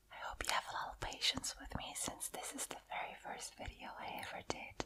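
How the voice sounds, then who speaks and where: A woman whispers at a moderate pace. Noticeable background noise can be heard. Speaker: ASMR artist. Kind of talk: ASMR whisper talk. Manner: whispered, soft-spoken.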